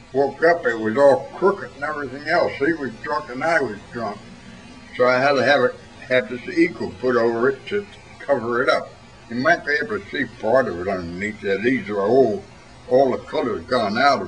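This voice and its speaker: Over music in the background, a man of medium pitch speaks at a moderate pace with lively intonation and big swings in loudness. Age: 80s+. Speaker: war veteran. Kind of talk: interview answer.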